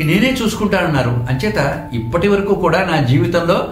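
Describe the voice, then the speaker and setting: Lively intonation from a man, with audible room echo and noticeable background noise. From Andhra Pradesh. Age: 80s+. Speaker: devotee and retired engineer. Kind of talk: testimony.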